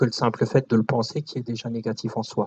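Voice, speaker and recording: The sound is dry and close, without any echo. A man delivers his words at a moderate pace. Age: 60s. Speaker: lecturer on shamanism and spirituality. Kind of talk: lecture with audience Q&A. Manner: hesitant, many fillers.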